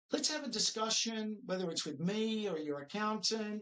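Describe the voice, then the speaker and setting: With an Australian accent, a man talks at a high pitch with ordinary pitch variation. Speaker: financial adviser. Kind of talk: training video presentation. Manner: upbeat, encouraging.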